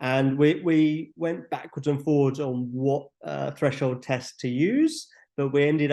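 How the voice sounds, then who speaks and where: A man's normal speaking voice of medium pitch, with fairly even intonation, over a quiet background. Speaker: app developer presenting features. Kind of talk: webinar tutorial. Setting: online webinar. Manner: casual, filler-heavy.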